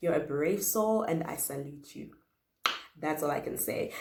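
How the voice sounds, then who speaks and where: A woman's lively, fairly slow speech with audible room echo. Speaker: YouTuber. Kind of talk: casual chat.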